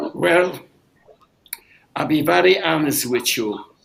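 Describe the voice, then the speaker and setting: This man's voice sits fairly high and carries vocal fry. He speaks at a very slow pace. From Poland. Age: 90s. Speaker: Holocaust survivor and drummer. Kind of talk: Q&A testimony.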